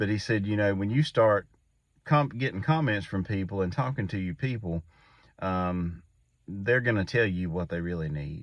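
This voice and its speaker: A man speaks at a moderate pace in a fairly low pitch, with an unremarkable speaking voice. His intonation is lively. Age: 40s. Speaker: YouTube creator, father. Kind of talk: casual talk to camera. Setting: inside a pickup truck at night.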